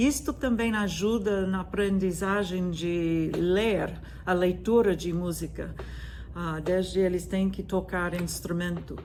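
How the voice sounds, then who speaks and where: Through audible room echo, a woman with an American accent speaks at a very slow pace and medium pitch with fairly even intonation. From US, Virginia. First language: English (speaking Portuguese). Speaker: music professor. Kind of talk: lecture. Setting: video recording from her classroom. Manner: hesitant, with frequent fillers.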